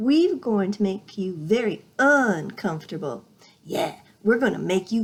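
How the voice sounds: A natural reading voice. The intonation is lively.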